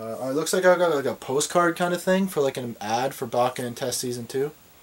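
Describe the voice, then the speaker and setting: Noticeable background noise fills the clip. A man is talking through it. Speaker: anime collector vlogger. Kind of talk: unboxing video. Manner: fast when nervous; halting, filler words. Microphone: video camera mic, maybe poor sound.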